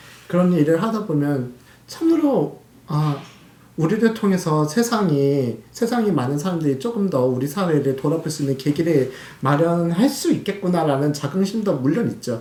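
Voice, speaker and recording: A man speaks at a moderate pace with a fairly high pitch and a dark, mellow tone. His intonation is lively, and audible room echo is present. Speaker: journalist and columnist. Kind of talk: interview. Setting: office. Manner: halting, many fillers.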